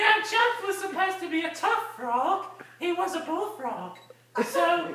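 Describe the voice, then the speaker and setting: An extremely high, squeaky put-on character voice plays with a playful tone at a moderate pace, carrying a slight echo. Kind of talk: improvised bedtime-style story. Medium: solo performance. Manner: giggly, rambling, playful.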